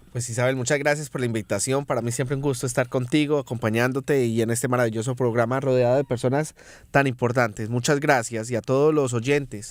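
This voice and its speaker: Speech races at a very fast pace from a man. His intonation stays fairly even at a medium pitch. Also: hardly any pauses. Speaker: politician. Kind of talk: political interview.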